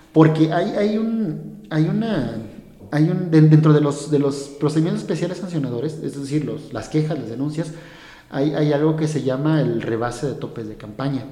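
Recorded with audible room echo and noticeable background noise, a man talks at a fairly high pitch with ordinary pitch variation. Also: moderate pace. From Mexico, Hidalgo. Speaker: lawyer working for an electoral body. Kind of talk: casual interview. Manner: halting, many repetitions.

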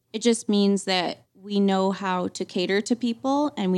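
A woman with an ordinary speaking voice talks at a medium pitch with ordinary pitch variation. The background is quiet. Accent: American. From Montana, US. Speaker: realtor. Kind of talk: casual chat.

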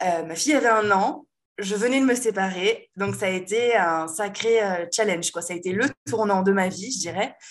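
Speaking at a moderate pace, a woman uses lively intonation in a medium-pitched voice, an unremarkable speaking voice. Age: 30s. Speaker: web designer and WordPress trainer. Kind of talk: casual interview chat.

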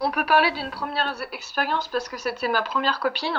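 Her pace moderate, a woman speaks at a high pitch with ordinary pitch variation. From France. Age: 20s. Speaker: interviewee sharing a breakup story. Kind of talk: casual interview. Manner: hesitant, many fillers.

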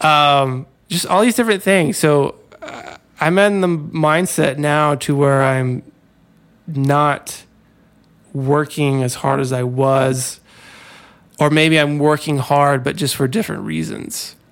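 A man with a fairly high voice and an American accent talks very slowly, with long, frequent pauses. His pitch varies in an ordinary way. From US South. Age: 30s. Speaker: freelance designer. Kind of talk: casual chat.

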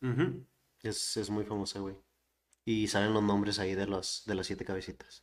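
At a moderate pace, a man with a fairly low pitch and fairly even intonation speaks in an ordinary speaking voice. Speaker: podcast host. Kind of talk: casual chat.

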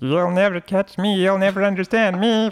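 Using a put-on character voice, a man speaks with a high pitch at a moderate pace. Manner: menacing, like a serial killer.

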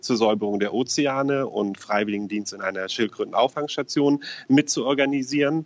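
A man speaks in a normal speaking voice at a moderate pace. His pitch varies in an ordinary way. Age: 30s. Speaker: financial advisor. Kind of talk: interview. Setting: phone call.

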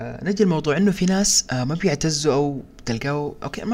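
Here is an unremarkable speaking voice from a man. He uses lively intonation at a moderate pace. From Sudan, partly raised in Saudi Arabia. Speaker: podcast co-host. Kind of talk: casual discussion.

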